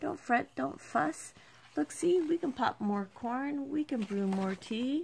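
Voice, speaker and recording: This is a put-on character voice with a squeaky sound. It moves at a fairly slow pace. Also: female-sounding voice, high pitch for a woman. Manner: soothing, comforting a crying bear.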